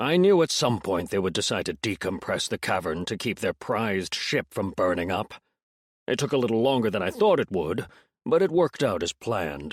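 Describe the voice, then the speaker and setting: On a very clean recording with a silent background, a man puts on a character voice at a medium pitch. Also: fairly quick pace. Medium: read story. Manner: smug, teasing.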